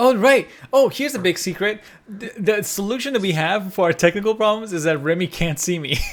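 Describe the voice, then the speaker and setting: With music in the background, the speaker goes at a fairly quick pace and uses ordinary pitch variation. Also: man, high pitch for a man. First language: Persian. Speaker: podcast co-host. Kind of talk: casual chat.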